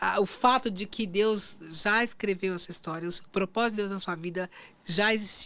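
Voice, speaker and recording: A woman speaks at a moderate pace with fairly even intonation. She has a plain, everyday voice. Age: 60s. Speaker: marketing agency owner and former lawyer. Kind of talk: faith podcast interview.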